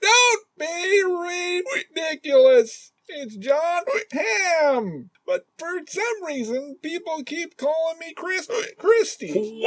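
A put-on character voice, extremely high in pitch and very slow. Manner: anxious, hesitant.

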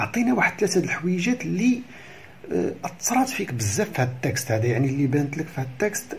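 Over light background noise, a man speaks at a very slow pace with very wide pitch swings. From Morocco. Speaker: primary school teacher. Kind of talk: lesson explanation. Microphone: phone near.

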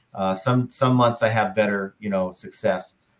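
Speaking at a fairly quick pace, the man lets his pitch rise and fall in an ordinary way. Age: 50s. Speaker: podcast co-host, online reseller. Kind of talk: casual chat. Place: home room.

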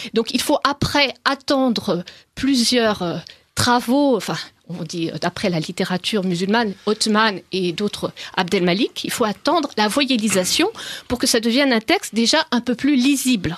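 A woman in a normal speaking voice talks at a fairly slow pace, fairly high in pitch with lively intonation, the sound dry and close with no echo over a quiet background. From France. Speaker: author on the Quran. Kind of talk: radio interview. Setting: studio.

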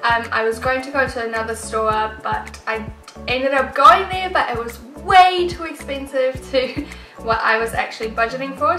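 A woman with a high voice talks at a moderate pace with ordinary pitch variation. Clear music plays in the background amid audible room echo. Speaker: home decor vlogger. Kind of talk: casual vlog chat. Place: home room.

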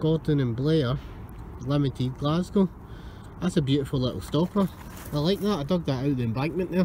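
The voice moves at a fairly quick pace with ordinary pitch variation and very even loudness. The sound is dry with no echo, and there is light background noise. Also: man. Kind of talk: casual vlog commentary. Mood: pleased, curious. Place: beach. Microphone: phone near.

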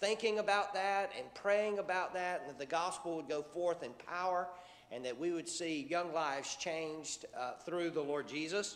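A man talks with a high pitch. His pitch varies in an ordinary way, and his pace is moderate. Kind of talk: church announcements. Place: church.

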